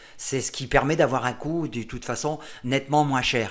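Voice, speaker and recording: At a moderate pace, a man speaks at a fairly high pitch for a man. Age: 60s. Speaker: amateur cyclist vlogger. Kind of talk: casual vlog monologue. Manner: halting, many fillers.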